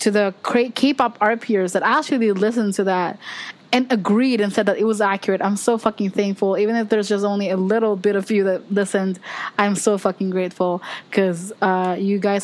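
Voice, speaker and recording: A woman speaks in an animated tone with an American accent. Her pitch is medium and her pace fairly quick. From Philippines. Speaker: podcast host. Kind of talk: casual chat. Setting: video call.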